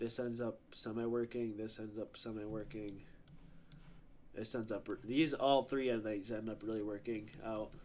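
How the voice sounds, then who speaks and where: A quiet man's medium-pitched, flat, monotone voice at a fairly slow pace, broken by long, frequent pauses. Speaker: day trader streaming live. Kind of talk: live trading stream with chat. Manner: casual, filler-heavy; a little quiet at first. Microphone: mic was a bit far away.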